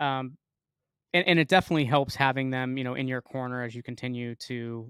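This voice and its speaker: A man speaks at a moderate pace in a medium pitch, with fairly even intonation and a plain, everyday voice, recorded dry and close with no echo on a very clean track with a silent background. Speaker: podcast host. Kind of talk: interview.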